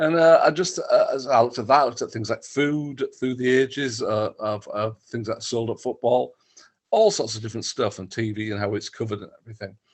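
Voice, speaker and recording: A man with a Teesside accent, fairly quick pace, ordinary pitch variation and big swings in loudness. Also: medium pitch for a man. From northern England (Stockton-on-Tees, Teesside). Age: 60s. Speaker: football writer and author. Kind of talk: interview. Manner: halting, many fillers and repeats.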